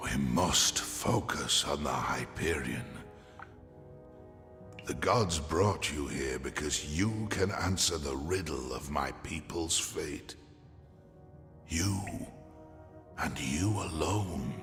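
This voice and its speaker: In a put-on character voice, a man talks very slowly with a very deep, low pitch and ordinary pitch variation, leaving long, frequent pauses over clear background music. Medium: video game. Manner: solemn, measured.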